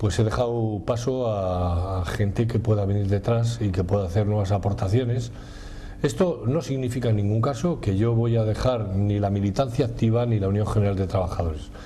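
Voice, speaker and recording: Fairly low male voice with ordinary pitch variation, a moderate pace and audible room echo. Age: 60s. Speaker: trade union leader. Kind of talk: interview. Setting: restaurant.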